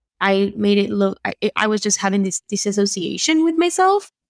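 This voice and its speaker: At a fairly quick pace, a woman speaks at a medium pitch with a slight Argentine accent. The recording is very clean with a silent background, and the sound is dry and close with no echo. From Argentina. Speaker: photographer and confidence coach. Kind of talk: podcast interview.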